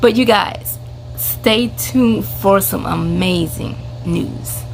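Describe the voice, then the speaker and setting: There is audible room echo and noticeable background noise. A woman speaks at a very slow pace. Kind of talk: casual vlog announcement. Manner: animated.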